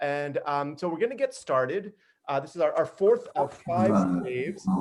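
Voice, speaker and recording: A man is speaking. He talks at a moderate pace. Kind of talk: casual welcome to an online group reading.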